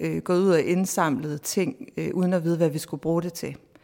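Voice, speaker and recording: A female speaker's fairly low voice varies in pitch in an ordinary way. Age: 40s. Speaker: professor. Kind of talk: interview. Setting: outdoors in a garden.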